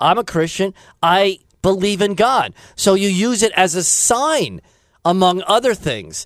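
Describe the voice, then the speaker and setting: This man speaks with an American accent in a high voice. His intonation is lively. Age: 50s. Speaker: radio talk show host. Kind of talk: radio call-in talk show.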